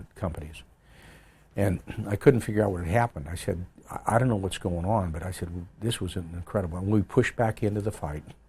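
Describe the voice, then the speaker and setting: A man talks at a very fast pace with fairly even intonation. His pitch is very deep and low. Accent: American. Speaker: retired army general, Vietnam war veteran. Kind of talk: oral history interview answer.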